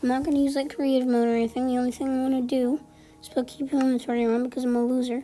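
Over background music, the speech runs at a fairly quick pace. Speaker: gaming YouTuber. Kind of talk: gameplay commentary. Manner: casual, hesitant with many fillers.

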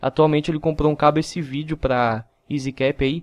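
A man with a fairly high pitch talks at a fairly quick pace in monotone, flat intonation. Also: quiet background. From interior of São Paulo, Brazil (Mogi Mirim). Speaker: gaming YouTuber. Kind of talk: casual vlog.

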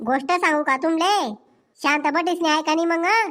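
A woman puts on a squeaky, cartoonish character voice at an extremely high pitch, keeping a moderate pace and very even loudness. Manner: bossy.

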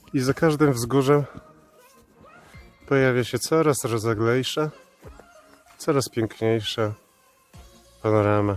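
Music plays in the background while a man speaks at a very slow pace, with long, frequent pauses. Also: medium pitch for a man, ordinary pitch variation. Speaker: hiking trip narrator and camera operator. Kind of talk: casual vlog commentary while hiking. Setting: outdoors. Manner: uneven, alternately overexcited and subdued.

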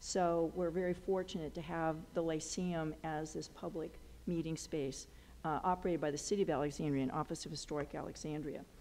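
A woman speaks at a fairly quick pace. Her pitch is very deep and low, with fairly even intonation. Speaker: historical society host. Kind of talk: meeting introduction remarks. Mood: somber memorial tone later. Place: hall. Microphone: headset.

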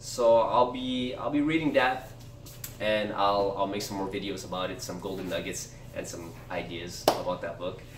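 Noticeable background noise sits behind a man's fairly low-pitched voice. He keeps a moderate pace and ordinary pitch variation. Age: 30s. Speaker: book review youtuber. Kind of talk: casual video monologue. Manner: halting, many fillers. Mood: relaxed, a bit self-deprecating. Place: home room. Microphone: camera far.

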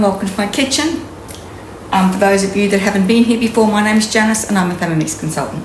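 Light background noise and audible room echo fill the recording. A woman speaks with ordinary pitch variation. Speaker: cooking demonstrator. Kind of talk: tutorial. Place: kitchen. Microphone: camera far.

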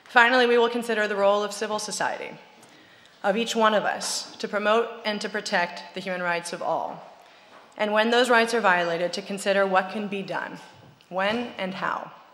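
A woman is talking at a moderate pace. Her intonation stays fairly even. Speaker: event host opening session. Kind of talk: formal opening speech. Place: hall. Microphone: podium.

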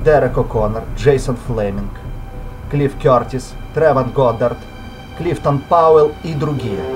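Over music in the background, a man speaks at a very slow pace and medium pitch, with ordinary pitch variation and long, frequent pauses. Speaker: amateur voice-over artist. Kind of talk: movie dub opening narration and credits read.

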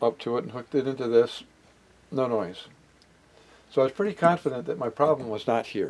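This man's pitch moves up and down a normal amount. He speaks fairly quickly. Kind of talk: tutorial. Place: workshop.

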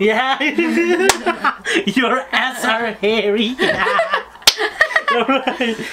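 A man speaks at a very slow pace with long, frequent pauses over loud background noise. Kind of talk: casual talk to camera, game banter. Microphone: camera far.

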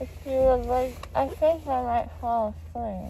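The speech is mumbled. There is light background noise and a dry sound with no echo. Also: fairly slow pace. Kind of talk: casual vlog chat. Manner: drowsy, slurred post-anesthesia mumble. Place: car. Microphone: phone near.

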